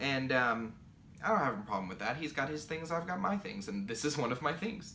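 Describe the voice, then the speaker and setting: A man with a fairly high voice speaks at a fairly quick pace, his pitch swinging very widely, with audible room echo and noticeable background noise. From Kentucky. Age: 20s. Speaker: knitting podcaster. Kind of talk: casual Q&A podcast.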